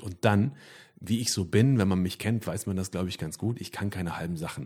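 On a very clean recording with a silent background, a man talks in a normal speaking voice, fairly low in pitch with ordinary pitch variation. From Sauerland, Germany. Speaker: band singer. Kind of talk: casual interview chat.

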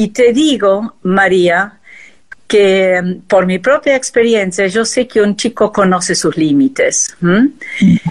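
A woman with a German accent speaks at a very slow pace in a medium pitch. Her loudness stays very even, and her pitch varies in an ordinary way. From Argentina, arrived from Austria as small child. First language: German (speaking Spanish). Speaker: textile artist. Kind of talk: interview.

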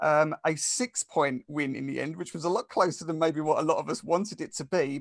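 In a quiet background with a dry, close sound and no echo, a man speaks at a moderate pace with an Essex accent and ordinary pitch variation. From England, Essex. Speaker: sports podcast host. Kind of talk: casual sports chat.

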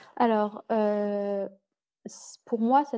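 A woman speaks in a medium pitch with fairly even intonation. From France, Paris. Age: 20s. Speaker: digital illustrator. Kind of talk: casual interview. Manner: halting, many fillers.

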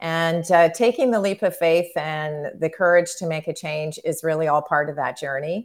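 Using an ordinary speaking voice, a woman talks at a moderate pace with hardly any pauses and ordinary pitch variation, in a very clean recording with a silent background. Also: fairly low pitch for a woman. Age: 60s. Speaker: marketing consultant and artist. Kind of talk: interview conversation.

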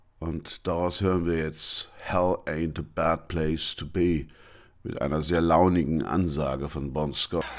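Very clean and silent in the background, this recording has a man speaking at a very slow pace. His voice is very deep and low, with vocal fry and monotone, flat intonation. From Franconia, Germany. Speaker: music podcast host. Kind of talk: scripted narration.

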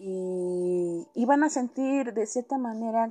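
The voice, dark and mellow in tone with a Mexican accent, moves through very wide pitch swings. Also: woman. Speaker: podcast host. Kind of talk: casual monologue. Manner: halting; subdued.

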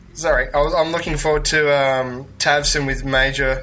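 Fairly slow male speech in an Australian accent. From Australia (Melbourne). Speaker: tabletop gamer. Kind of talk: casual chat.

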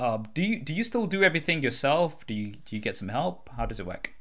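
A man with a British accent speaks fairly quickly at a fairly high pitch. His voice swings very widely in pitch and shows vocal fry. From UK. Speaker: podcast host. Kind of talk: casual chat.

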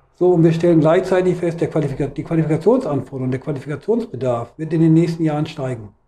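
Very fast and with hardly any pauses, a man talks in a fairly high voice with a dark, mellow tone and ordinary pitch variation. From Hannover, northern Germany. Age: 50s. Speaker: trade union official. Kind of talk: interview. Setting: union office.

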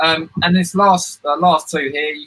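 This is a man speaking with a British accent. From United Kingdom. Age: 20s. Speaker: certified technology trainer. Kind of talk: tutorial. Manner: fast talker.

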